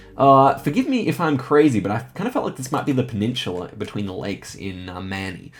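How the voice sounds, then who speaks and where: A man with a medium pitch talks very fast in a somewhat breathy voice with lively intonation. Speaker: gaming YouTuber. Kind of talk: live gameplay commentary.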